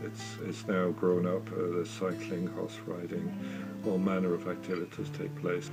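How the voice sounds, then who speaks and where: Over music in the background, a man with a very deep, low voice speaks at a moderate pace. His pitch swings very widely. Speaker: bookshop owner and local historian. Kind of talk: interview answer. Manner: measured, hesitant with fillers.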